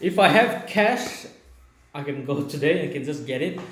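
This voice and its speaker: A man with an Indian accent talks at a moderate pace with lively intonation. Audible room echo and noticeable background noise fill the recording. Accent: non-native English, Indian. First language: Naga language. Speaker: video blogger. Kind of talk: casual Q&A chat. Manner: halting.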